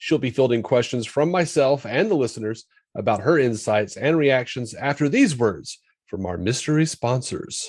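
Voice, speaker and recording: An unremarkable speaking voice at a moderate pace, with lively intonation, against a quiet background. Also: man, medium pitch for a man. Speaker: podcast host. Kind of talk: podcast intro.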